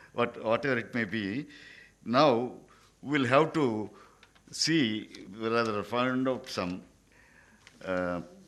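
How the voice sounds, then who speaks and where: Amid audible room echo, a man speaks at a very slow pace with long, frequent pauses, using a medium pitch and ordinary pitch variation. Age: 80s+. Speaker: senior lawyer or retired judge. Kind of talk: conference speech. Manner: halting.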